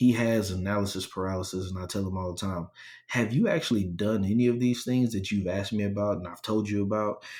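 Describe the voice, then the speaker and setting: The speech comes at a very fast pace in an animated tone, with ordinary pitch variation. It is a very clean recording with a silent background. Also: man. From rural area. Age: young. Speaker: real estate agent and motivational speaker. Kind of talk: podcast interview.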